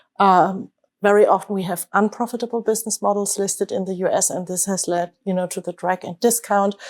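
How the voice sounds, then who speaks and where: Speaking fairly quickly with a German accent, a woman keeps a medium pitch and monotone, flat intonation. The recording is very clean, with a silent background. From Germany. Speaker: investment manager. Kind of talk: panel discussion. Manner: hesitant, many fillers and restarts.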